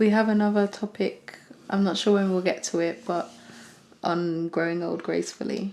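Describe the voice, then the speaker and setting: With a British accent, a woman speaks at a moderate pace with fairly even intonation. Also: medium pitch for a woman. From UK. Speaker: podcast co-host. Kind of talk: casual chat.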